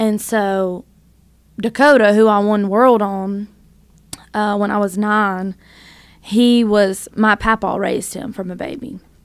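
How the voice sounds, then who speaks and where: Speaking fairly slowly, a woman with a Southern US accent keeps her intonation fairly even at medium pitch. She pauses often and at length. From North Louisiana. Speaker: songwriter and singer. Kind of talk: casual interview chat.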